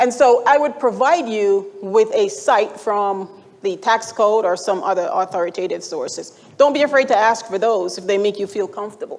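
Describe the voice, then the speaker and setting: With a Jamaican accent, a woman speaks in a fairly high pitch with ordinary pitch variation. She keeps a moderate pace and hardly pauses. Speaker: retirement account expert presenter. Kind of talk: conference presentation. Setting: stage with audience. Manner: conversational.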